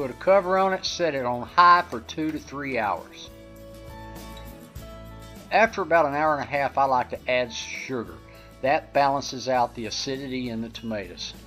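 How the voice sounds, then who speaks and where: Faint music plays in the background. The speech has long, frequent pauses. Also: moderate pace. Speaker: home cook host. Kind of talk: cooking tutorial. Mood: friendly, relaxed. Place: kitchen.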